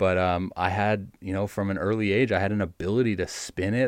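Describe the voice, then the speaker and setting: This man speaks at a fairly quick pace and a fairly low pitch. The background is quiet. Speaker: professional baseball pitcher. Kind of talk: interview. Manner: animated.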